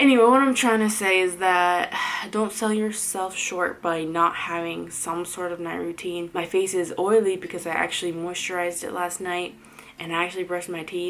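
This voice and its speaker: The intonation stays fairly even at a moderate pace, with noticeable background noise. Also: woman, fairly low pitch for a woman. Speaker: lifestyle vlogger. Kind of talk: casual chat. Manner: chatty, rambling fillers.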